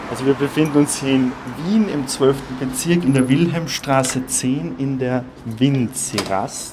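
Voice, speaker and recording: Against noticeable background noise, a man speaks fairly slowly in a medium pitch with ordinary pitch variation. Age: 20s. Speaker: theology student. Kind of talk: personal testimony.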